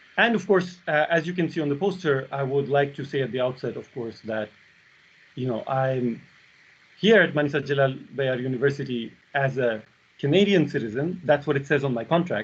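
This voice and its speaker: Speaking at a fairly quick pace, a man uses a fairly high pitch with ordinary variation and a somewhat breathy quality. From Belarus. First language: Russian. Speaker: university lecturer. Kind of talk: lecture.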